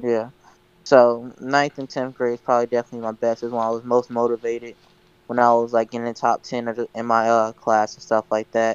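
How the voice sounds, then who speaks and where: A man's fairly quick, flat monotone with big swings in loudness. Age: young, recent high school graduate. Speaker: podcast co-host. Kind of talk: casual chat.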